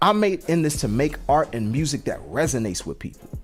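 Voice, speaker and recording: A man speaks at a moderate pace with an American accent. Music plays in the background. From Washington DC. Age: 40s. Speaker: rapper and show host. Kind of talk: live-stream podcast monologue. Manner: casual, conversational.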